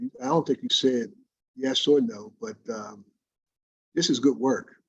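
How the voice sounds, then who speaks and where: With lively intonation, a man talks at a moderate pace in a medium pitch. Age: 60s. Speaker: gallery owner. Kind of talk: casual chat. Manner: halting.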